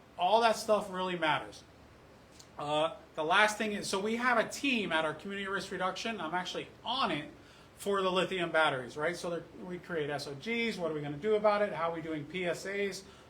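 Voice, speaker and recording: A man with a high pitch projects a raised voice with ordinary pitch variation, over noticeable background noise and audible room echo. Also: fairly quick pace. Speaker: fire rescue officer. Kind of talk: public meeting presentation. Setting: community council meeting. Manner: fast.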